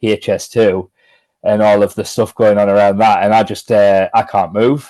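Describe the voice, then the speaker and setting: A man with a Sunderland accent, a fairly low pitch and a dark, mellow tone, at a moderate pace with monotone, flat intonation, on a very clean recording with a silent background. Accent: Mackem (Sunderland), self-described. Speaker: football journalist. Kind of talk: casual interview chat. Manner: hesitant, many fillers and repeats.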